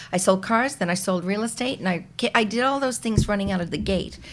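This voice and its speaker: Talking at a fairly quick pace, a woman has a plain, everyday voice, medium in pitch with ordinary variation. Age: 60s. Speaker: podcast guest, mother of the host. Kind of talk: casual chat.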